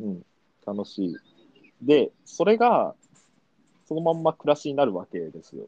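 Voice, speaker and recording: Long, frequent pauses break up a man's speech at a moderate pace. The sound is dry and close, with no echo. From Japan, Kumamoto (Aso area). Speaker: PR and marketing staff. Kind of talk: casual chat. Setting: remote call. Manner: hesitant, many fillers.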